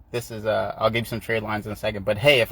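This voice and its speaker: Speaking at a very fast pace, a man's voice carries vocal fry. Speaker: business credit coach. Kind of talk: live-streamed tutorial. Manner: animated.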